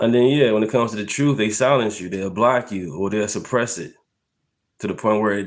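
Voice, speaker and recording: Heard on a very clean recording with a silent background, a man has a plain, everyday voice in an American accent. His pitch is fairly low, with ordinary variation. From Chicago, South Side. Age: 40s. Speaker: political commentary podcast host. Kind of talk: casual live-stream commentary. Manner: casual, conversational.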